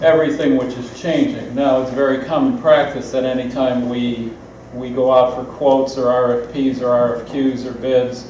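The speech comes fairly slowly in a flat monotone, with light background noise and audible room echo. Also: man. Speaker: city official answering council. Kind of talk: meeting explanation. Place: hall. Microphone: camera far.

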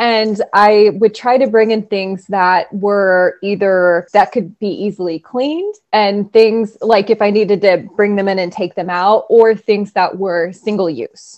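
Against a quiet background, a woman speaks at a medium pitch and fairly slow pace, with fairly even intonation and hardly any pauses. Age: 30s. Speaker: occupational therapist. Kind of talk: casual interview. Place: home room. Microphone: earbuds.

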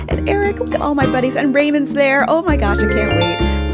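Music plays behind the speaker. The voice belongs to a woman. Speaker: gaming vlogger. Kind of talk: casual gameplay commentary. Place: home room. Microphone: studio mic.

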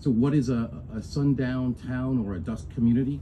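A man speaks at a medium pitch in a somewhat breathy voice with a dark, mellow tone over light background noise. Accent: American. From Tennessee, US South. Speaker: business owner, former politician; former politician. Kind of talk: speech. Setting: live event with audience. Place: open country. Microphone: camera far.

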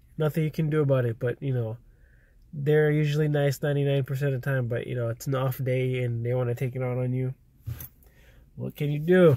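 Fairly high and somewhat breathy, a man's voice moves at a fairly quick pace with fairly even intonation. The recording is very clean, with a silent background. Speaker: vlogger. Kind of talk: casual vlog talk to camera. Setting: in a car.

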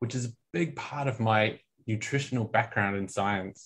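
In an Australian accent, a man speaks at a fairly quick pace in a somewhat breathy voice against a quiet background. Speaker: nutrition scientist; presenter. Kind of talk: product training lecture. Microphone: video call.

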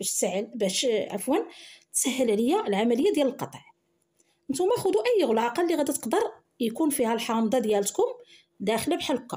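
A woman's high-pitched voice at a fairly quick pace, with very wide pitch swings. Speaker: cooking channel host. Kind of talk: cooking tutorial.

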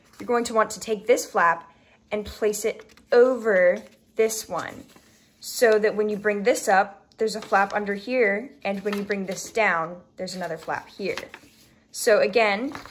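At a fairly slow pace, a woman speaks with fairly even intonation over light background noise. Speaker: craft demonstrator. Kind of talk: tutorial. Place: home room. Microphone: phone near.

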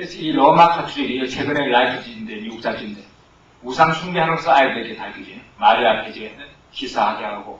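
A man talks at a fairly quick clip with lively intonation and big swings in loudness, over light background noise and audible room echo. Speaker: missionary; missionary lecturer. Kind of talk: sermon. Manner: impassioned, shouting. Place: church.

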